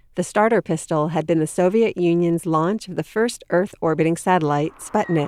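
A woman with an unremarkable speaking voice, fairly low in pitch, at a moderate pace with ordinary pitch variation and hardly any pauses. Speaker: podcast host. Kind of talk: scripted narration.

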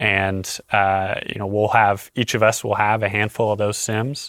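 The man has an unremarkable speaking voice. He talks at a moderate pace with a fairly low pitch. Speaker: flight director. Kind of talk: casual chat. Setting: studio.

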